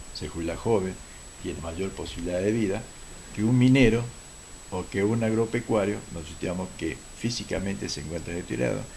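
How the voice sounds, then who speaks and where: A man with a very deep, low pitch talks at a fairly quick pace, leaving long, frequent pauses. Room echo is audible. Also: ordinary pitch variation. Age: 70s. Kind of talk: TV talk show interview.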